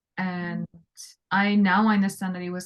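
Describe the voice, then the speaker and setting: Breathiness is somewhat present in the speech. Little else is heard, as the background stays quiet. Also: woman. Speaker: self-connection coach. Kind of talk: casual interview chat.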